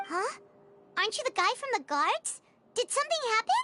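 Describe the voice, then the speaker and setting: Music plays behind a put-on character voice that is extremely high-pitched and moves at a fairly quick pace. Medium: video game. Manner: practical, dry.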